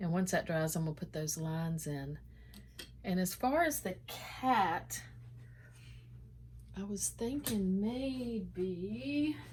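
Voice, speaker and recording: A woman speaks at a very slow pace with long, frequent pauses. Her medium-pitched, somewhat breathy voice swings very widely in pitch. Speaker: painter. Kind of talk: painting tutorial, thinking aloud. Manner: mumbling; hesitant, many fillers.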